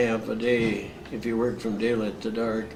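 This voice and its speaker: In an American accent, a man talks at a moderate pace in a monotone, flat intonation, with noticeable background noise and audible room echo. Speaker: war veteran. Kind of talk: oral history interview. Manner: halting, frequent uh fillers.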